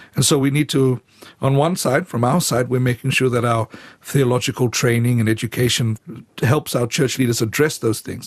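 A man speaks at a moderate pace with a medium pitch, fairly even intonation and a somewhat breathy quality, in a dry, close sound with no echo. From Fiji. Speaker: church leader. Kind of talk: radio interview. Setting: studio. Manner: halting.

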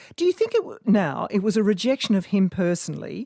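In an Australian accent, a woman speaks at a moderate pace on a very clean recording with a silent background. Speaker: radio host. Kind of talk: radio interview.

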